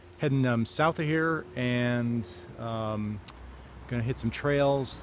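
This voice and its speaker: The pitch swings very widely. Noticeable background noise and audible room echo fill the recording. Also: man. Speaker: motorcycle vlogger. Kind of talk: casual vlog talk to camera. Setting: roadside outdoors.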